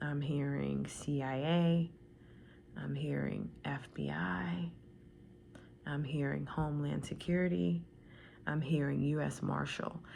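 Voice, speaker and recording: A soft-spoken woman talks with an American accent at a very slow pace. She leaves long, frequent pauses, and the room echo is audible. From Washington DC area. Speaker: tarot reader. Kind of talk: tarot reading. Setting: at home.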